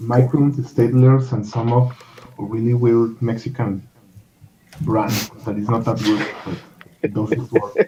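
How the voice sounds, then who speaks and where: With a Spanish accent, the speaker goes at a fairly slow pace with long, frequent pauses against noticeable background noise. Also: man, medium pitch for a man, fairly even intonation. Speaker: comic artist. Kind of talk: casual chat. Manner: halting.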